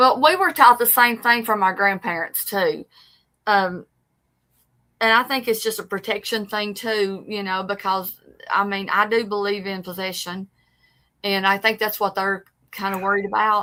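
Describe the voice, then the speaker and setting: Speaking at a moderate pace with long, frequent pauses, a woman with an East Tennessee accent keeps a medium pitch and fairly even intonation on a very clean recording with a silent background. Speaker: paranormal show co-host. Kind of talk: casual chat. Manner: halting.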